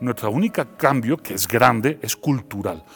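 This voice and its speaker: A man speaks with an Andalusian accent. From Seville, Spain. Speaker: philosopher. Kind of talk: interview.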